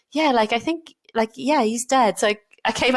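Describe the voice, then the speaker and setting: A woman's fairly high voice at a fairly quick pace. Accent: slight Welsh. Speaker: doctor, GP trainee. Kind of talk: casual chat. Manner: animated.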